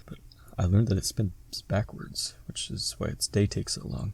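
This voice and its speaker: A dark, mellow tone comes through in this somewhat breathy voice. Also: man. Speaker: podcast co-host. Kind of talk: casual podcast conversation. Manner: stutters when doing math aloud.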